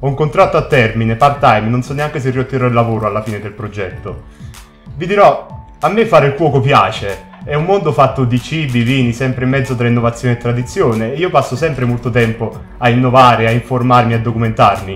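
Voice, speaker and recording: Over faint background music, a man talks at a fairly quick pace with ordinary pitch variation. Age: 30s. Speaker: cook. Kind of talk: casual talk to camera. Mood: earnest, indignant. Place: studio.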